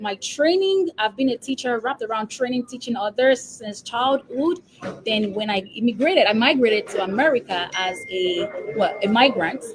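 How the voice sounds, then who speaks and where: A woman's fairly high-pitched voice with a Nigerian accent, lively intonation and a moderate pace, music in the background. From Nigeria, Lagos. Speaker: epidemiologist and business coach. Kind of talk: interview. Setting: live stream.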